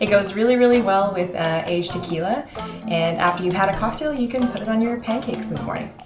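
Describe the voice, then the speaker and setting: Clear music plays in the background as a woman talks at a very fast pace with ordinary pitch variation. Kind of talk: tutorial. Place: kitchen. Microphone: camera far.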